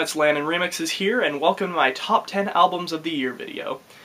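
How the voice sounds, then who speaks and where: A man talks very fast and high-pitched while noticeable background noise runs underneath. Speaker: music reviewer. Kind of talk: video commentary.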